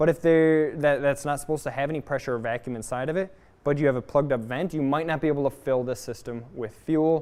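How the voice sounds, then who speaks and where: A man speaks loud and at a very fast pace. His pitch is fairly high, and the background is quiet. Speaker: automotive technical trainer. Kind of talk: live training class. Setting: garage workshop. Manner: animated.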